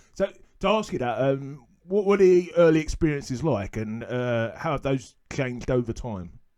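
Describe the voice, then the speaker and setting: Speaking with a London accent, a man uses a fairly high pitch with very wide swings at a moderate pace. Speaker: fantasy football podcast host and lecturer. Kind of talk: interview.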